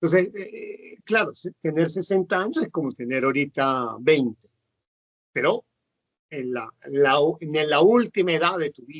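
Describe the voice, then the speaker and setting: Big swings in loudness mark this man's fairly slow, lively-intoned speech in a fairly high pitch. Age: 60s. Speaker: nurse. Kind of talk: casual interview. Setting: video call. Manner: halting, many fillers.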